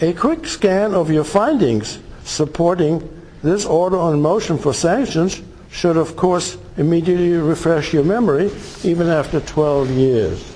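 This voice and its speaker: A man speaks at a high pitch with very even loudness. Noticeable background noise sits behind him. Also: ordinary pitch variation, fairly slow pace. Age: 70s. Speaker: retired farmer. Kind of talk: courtroom statement by self-represented litigant. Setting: courtroom recording.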